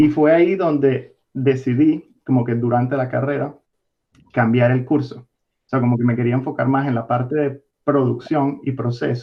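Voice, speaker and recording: A man talks at a moderate pace with a Venezuelan accent. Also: medium pitch for a man, fairly even intonation. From Venezuela, Caracas. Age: 20s. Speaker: distiller, biologist. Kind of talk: interview.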